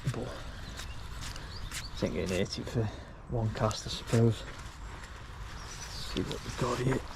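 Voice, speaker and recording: A man with a British accent speaks at a very slow pace, with long, frequent pauses. Noticeable background noise and audible room echo are present. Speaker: fishing vlogger. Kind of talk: casual vlog commentary. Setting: outdoors at a lake. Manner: monotone.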